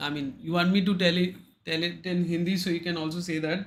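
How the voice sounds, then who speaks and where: A man with a high pitch raises and projects his voice in a bright, sharp tone. He goes at a fairly slow pace, with audible room echo around him. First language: Bengali. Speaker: trading indicator vendor. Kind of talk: livestream chat with market commentary. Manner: hesitant, many fillers.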